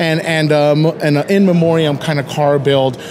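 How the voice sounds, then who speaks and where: A man is speaking at a fairly high pitch. Noticeable background noise runs under his voice. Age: 30s. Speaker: interviewer. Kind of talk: casual interview.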